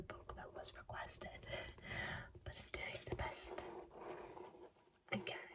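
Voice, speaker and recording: The words come at a fairly slow pace in a whisper. Behind them is noticeable background noise. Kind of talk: casual talk to camera. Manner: soft-spoken.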